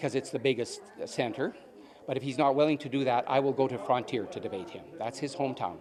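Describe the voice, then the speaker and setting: A man with a Canadian prairie accent speaks at a fairly quick pace. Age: 60s. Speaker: election candidate, farmer. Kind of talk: interview.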